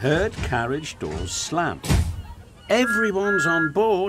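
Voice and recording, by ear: Someone is reading aloud. The voice is natural.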